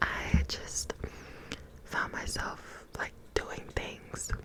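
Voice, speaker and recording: Against noticeable background noise, a whisper in a gentle, soothing tone moves at a very slow pace. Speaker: ASMR content creator. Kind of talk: ASMR whisper ramble to camera. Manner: whispered, gentle, soothing.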